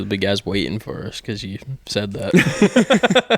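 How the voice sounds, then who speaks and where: A man speaks with an American accent. The sound is dry and close with no echo, though there is noticeable background noise. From Pennsylvania, outside eastern PA. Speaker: podcast host. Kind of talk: casual chat. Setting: garage.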